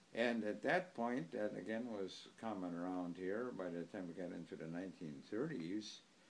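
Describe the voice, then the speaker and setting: With an Upper Midwest accent, a man speaks in a very deep, low pitch. His pace is moderate, with ordinary pitch variation and hardly any pauses. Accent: Upper Midwest (Wisconsin). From US Midwest, Germantown, Wisconsin. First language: German. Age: 80s+. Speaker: oral history interviewee. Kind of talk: oral history interview. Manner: halting, with frequent fillers.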